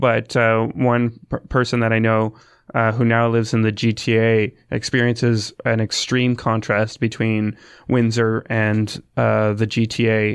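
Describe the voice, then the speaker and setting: A man with a Canadian accent speaks at a medium pitch and a fairly slow pace, his intonation monotone and flat and his loudness very even, against a quiet background. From Essex County, Ontario, Canada. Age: 30s. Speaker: radio DJ. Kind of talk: interview. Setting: studio. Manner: halting.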